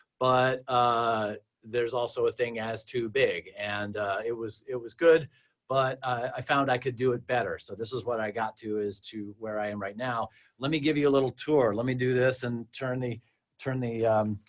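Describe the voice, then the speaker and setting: The man speaks with an American accent and fairly even intonation. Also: medium pitch for a man. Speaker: mastering engineer. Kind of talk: webinar presentation. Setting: video livestream from his studio. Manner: halting; fast.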